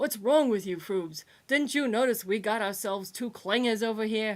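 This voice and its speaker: The put-on character voice is raspy and gravelly, moving at a moderate pace on a very clean recording with a silent background. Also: woman, fairly high pitch for a woman. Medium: read story. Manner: gruff, lecturing.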